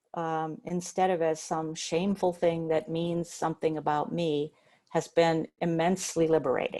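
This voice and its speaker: Her tone dark and mellow, a woman speaks at a moderate pace with a fairly low pitch and monotone, flat intonation. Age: 70s. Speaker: spiritual teacher and writer. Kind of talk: talk. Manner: hesitant, many fillers.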